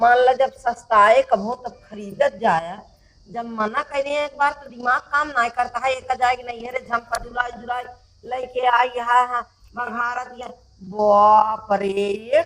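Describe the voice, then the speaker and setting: A woman with a high pitch speaks with fairly even intonation and big swings in loudness. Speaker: mother-in-law in skit. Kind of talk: village comedy sketch dialogue. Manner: scolding, mocking.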